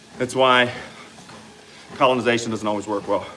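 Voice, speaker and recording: Over noticeable background noise, a man with an American accent talks at a fairly quick pace and medium pitch, his intonation flat and monotone. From US South, Louisiana. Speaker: fitness coach and livestreamer. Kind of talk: casual livestream chat reading comments. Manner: conversational, exercising while talking.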